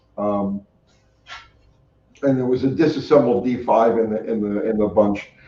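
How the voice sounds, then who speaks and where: With a New York accent, a man speaks at a moderate pace. His tone is dark and mellow, and his pitch varies in an ordinary way. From New York City, Staten Island. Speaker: car mechanic and YouTuber. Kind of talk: casual interview chat. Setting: live stream.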